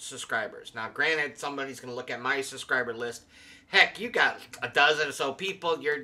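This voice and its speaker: Ordinary pitch variation at a moderate pace. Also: man. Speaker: channel host. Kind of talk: casual vlog commentary. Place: home room. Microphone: studio mic.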